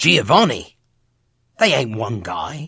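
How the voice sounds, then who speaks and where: A man's put-on character voice with very wide pitch swings at a moderate pace. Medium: video game. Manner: cocky, jokey, slangy.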